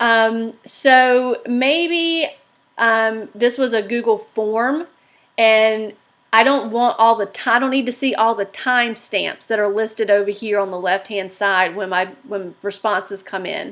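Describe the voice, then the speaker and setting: A plain, everyday voice, fairly slow in tempo, its pitch varying in an ordinary way. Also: woman, fairly high pitch for a woman. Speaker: teacher presenter. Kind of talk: tutorial. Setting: livestream webinar.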